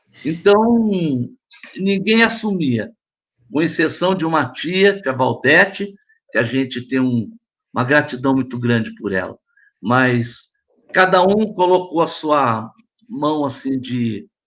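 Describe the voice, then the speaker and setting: With very wide pitch swings, a man with a fairly high pitch speaks at a very slow pace, leaving long, frequent pauses. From São Paulo state, Brazil. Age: 70s. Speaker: pastor. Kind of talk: testimony.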